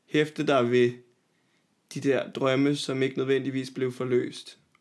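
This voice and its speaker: On a very clean recording with a silent background, a man talks at a very slow pace in a monotone, flat intonation. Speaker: podcast co-host. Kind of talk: casual chat. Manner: sometimes suddenly loud.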